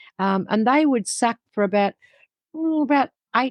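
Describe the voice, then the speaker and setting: The speaker is a woman with an Australian accent and lively intonation. The sound is dry and close, with no echo. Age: 70s. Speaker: dog breeder. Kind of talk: interview.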